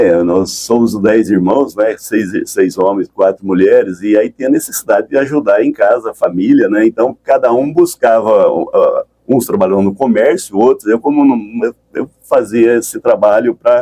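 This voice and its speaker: The sound is dry and close, with no echo. A man talks at a moderate pace with hardly any pauses. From Brazil, São Paulo and northern Paraná. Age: 60s. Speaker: entrepreneur and pioneer. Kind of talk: radio interview. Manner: halting, many repetitions.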